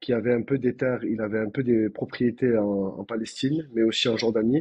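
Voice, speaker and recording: Speaking with a Toulouse accent, a man sounds somewhat breathy. His pace is fairly quick and his intonation fairly even. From France, Toulouse. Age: 30s. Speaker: doctor. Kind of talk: podcast interview. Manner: halting, many fillers.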